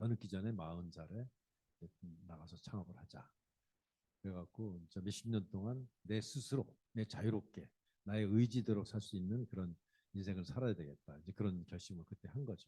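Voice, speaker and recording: Somewhat breathy and dark, mellow in tone, a man talks at a moderate pace with a fairly low pitch and ordinary pitch variation. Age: 60s. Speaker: company CEO and lecturer. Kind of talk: public lecture. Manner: conversational, addresses audience directly.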